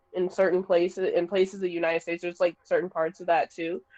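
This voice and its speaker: Recorded dry and close with no echo, a woman with an American accent speaks at a fairly low pitch. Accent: slight Southern accent, shows at times. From US Deep South. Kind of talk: casual chat.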